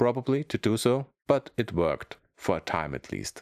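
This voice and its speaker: Speaking with a German accent at a moderate pace, a man makes very wide pitch swings in a dry, close sound with no echo. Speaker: comedian and YouTuber. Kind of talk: comedic monologue to camera.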